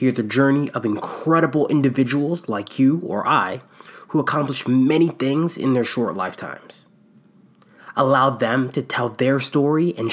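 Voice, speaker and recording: An ordinary speaking voice from a man with an American accent, medium in pitch, with ordinary pitch variation and a moderate pace. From US East Coast. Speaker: podcast co-host. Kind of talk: casual interview.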